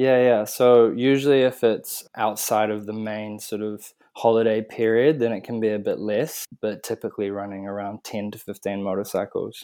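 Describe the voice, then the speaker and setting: Over a quiet background, a man with a New Zealand accent speaks at a moderate pace with hardly any pauses, a fairly low pitch, a dark, mellow tone, fairly even intonation and big swings in loudness. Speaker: motorcycle tour business manager. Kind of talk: interview.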